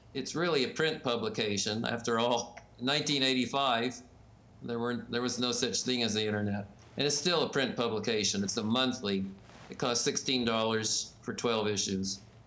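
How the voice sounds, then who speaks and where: A man with an American accent speaks at a moderate pace in a medium pitch, his tone bright and sharp. His intonation stays fairly even, and audible echo from the room surrounds him. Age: 70s. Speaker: ballot access expert and publisher. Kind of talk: interview.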